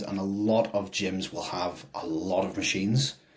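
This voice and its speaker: With an unremarkable speaking voice, a man talks fairly low in pitch and shows ordinary pitch variation. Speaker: fitness podcast co-host, personal trainer. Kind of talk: casual chat.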